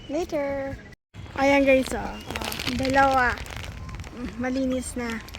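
High-pitched and monotone, with flat intonation, a woman speaks at a very slow pace with long, frequent pauses. The sound is dry with no echo, and there is noticeable background noise. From Philippines. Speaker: vlogger. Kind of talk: casual vlog chat. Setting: outdoors by a river. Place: waterside. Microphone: phone near.

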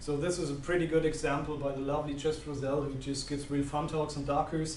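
With a German accent, a man speaks in a monotone, flat intonation at a fairly high pitch, with audible room echo and light background noise. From Germany. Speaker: systems engineer; presenter. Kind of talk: conference talk. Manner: halting. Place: meeting room.

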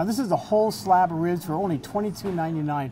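With music in the background, a man speaks with lively intonation. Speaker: food critic host. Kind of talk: restaurant review commentary. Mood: upbeat, enthusiastic. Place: cafe.

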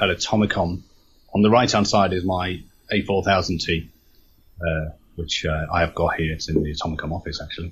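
Moderate pace with long, frequent pauses, fairly even intonation, a somewhat breathy quality, and light background noise. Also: man, very deep, low pitch for a man. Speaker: interview guest. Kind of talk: interview answer. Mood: relaxed, reminiscing. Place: home room. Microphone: video call.

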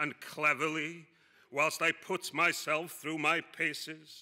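A man speaking at a very slow pace against a quiet background. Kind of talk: performance monologue reading. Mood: deadpan dark humour.

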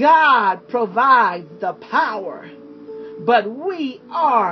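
The pitch swings very widely. Music plays in the background. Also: woman. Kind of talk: sermon / Bible character study.

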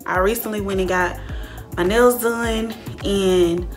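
A woman speaks with an American accent as faint music plays in the background. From Georgia, USA. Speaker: YouTuber. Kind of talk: casual storytime talk to camera. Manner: ranting, animated. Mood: annoyed, ranting. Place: home room. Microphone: phone near.

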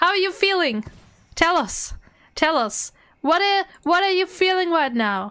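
A woman's raised, projected voice at an extremely high pitch, bright and sharp in tone, with very wide pitch swings and long, frequent pauses. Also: fairly slow pace. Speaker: video game streamer. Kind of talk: live stream chat. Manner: animated; loud.

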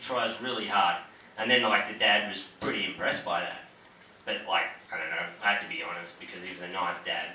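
A man with an Australian accent speaks at a fairly quick pace. Audible room echo and light background noise are present. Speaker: stand-up comedian. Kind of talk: stand-up comedy set. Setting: comedy club stage, live audience. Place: stage.

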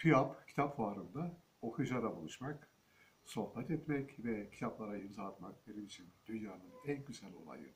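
A man at a moderate pace, intonation lively. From Turkey, Kadirli (Osmaniye, Çukurova); Turkey. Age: 60s. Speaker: historian and author. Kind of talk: book presentation monologue. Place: home room. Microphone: phone near.

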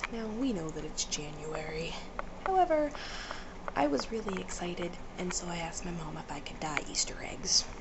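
A woman with an American accent, fairly low in pitch, at a moderate pace with lively intonation over loud background noise. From United States. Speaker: vlogger. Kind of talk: casual vlog talk to camera. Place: home room. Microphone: webcam.

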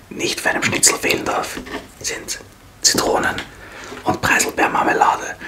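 Whispering at a fairly slow pace, a man talks in an Austrian accent. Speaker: ASMR mukbang creator. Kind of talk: ASMR eating video, casual talk to camera. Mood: cheerful, relaxed. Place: home room. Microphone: studio mic.

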